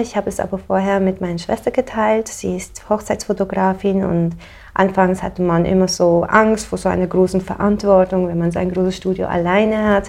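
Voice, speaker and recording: A woman at a medium pitch speaks at a moderate pace in a monotone, flat intonation with hardly any pauses. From Switzerland. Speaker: painter. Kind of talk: casual interview.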